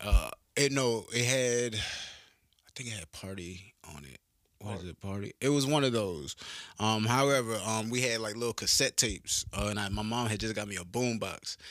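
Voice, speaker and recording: With a Southern US accent, a man talks at a moderate pace, his loudness swinging widely. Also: medium pitch for a man, ordinary pitch variation. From North Carolina, small coastal country town. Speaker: rapper and soldier. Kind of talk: casual interview.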